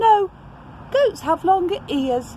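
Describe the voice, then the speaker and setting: A woman does a squeaky put-on character voice at an extremely high pitch. Background noise is clearly audible behind her. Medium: read story.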